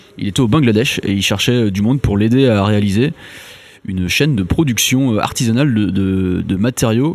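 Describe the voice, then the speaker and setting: A man's fairly low pitch with ordinary pitch variation. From Brittany, France. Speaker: engineer, low-tech association cofounder. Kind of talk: interview. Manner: hesitant, many fillers.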